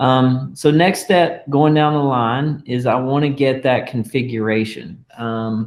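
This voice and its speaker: A man talks at a fairly slow pace with ordinary pitch variation. He has an ordinary speaking voice at medium pitch. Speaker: tech tutorial host. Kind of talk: tutorial.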